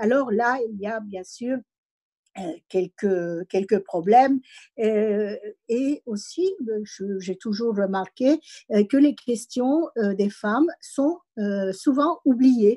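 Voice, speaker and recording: A woman's dark, mellow voice at a fairly high pitch, very slow, with lively intonation and big swings in loudness, in a dry, close sound with no echo against a quiet background. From immigrant background. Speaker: senator and university professor. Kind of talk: speech at online meeting. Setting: online meeting. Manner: hesitant, many fillers.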